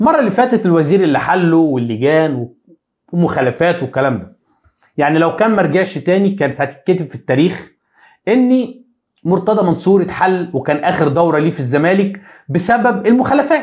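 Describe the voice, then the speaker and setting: Against a quiet background, a man with a Cairo accent talks at a fairly quick pace, his tone animated, his intonation lively and his pitch high. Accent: Egyptian Arabic (Cairene). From Egypt. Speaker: sports YouTuber, football commentator; sports news commentator. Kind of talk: live stream monologue on football news; commentary. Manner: animated, repetitive emphasis. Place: home room. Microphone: lapel.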